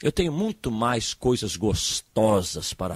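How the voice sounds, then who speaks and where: Lively intonation from a man with a medium-pitched voice, dry and close with no echo, on a very clean recording over a silent background. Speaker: pastor. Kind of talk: sermon. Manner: halting, repeats words.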